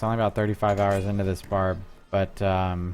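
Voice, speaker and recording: A man with a fairly low pitch talks as music plays in the background. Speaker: video game streamer. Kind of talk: live gameplay commentary. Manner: casual, halting with fillers.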